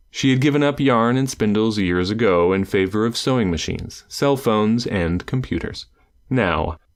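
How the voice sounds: A natural-sounding reading voice.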